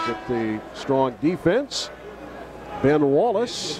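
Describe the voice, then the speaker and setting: A man's very wide pitch swings over noticeable background noise. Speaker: basketball play-by-play announcer. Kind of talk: sports play-by-play commentary.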